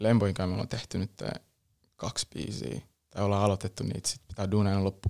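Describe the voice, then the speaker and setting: At a fairly quick pace, a man talks with a fairly low pitch, ordinary pitch variation and a dark, mellow tone, in a dry, close sound with no echo. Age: young. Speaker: rapper. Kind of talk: casual interview. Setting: studio.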